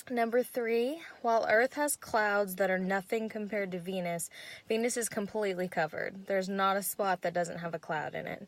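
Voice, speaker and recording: A woman with a medium pitch and ordinary pitch variation talks at a moderate pace in a very clean recording with a silent background. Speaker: student presenter. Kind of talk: class presentation. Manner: hesitant, many ums.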